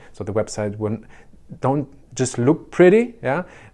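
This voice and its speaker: A man speaks with a German accent. His pace is fairly quick. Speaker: short-term rental business consultant. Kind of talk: tutorial. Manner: halting, many fillers.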